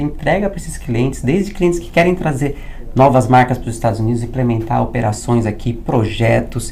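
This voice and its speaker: There is audible room echo around the voice. A man speaks at a moderate pace. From Brazil. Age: 30s. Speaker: business broker and consultant. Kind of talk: interview conversation. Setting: recording in Orlando, Florida.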